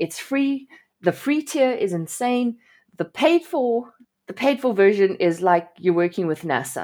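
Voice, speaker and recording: A woman's fairly high voice with a dark, mellow tone and very wide pitch swings, on a very clean recording with a silent background. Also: fairly slow pace. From South Africa. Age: 40s. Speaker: WordPress developer. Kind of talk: casual interview.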